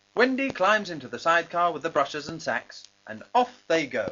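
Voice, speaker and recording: A high-pitched man at a moderate pace, with very wide pitch swings and big swings in loudness. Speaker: narrator. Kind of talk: children's story narration.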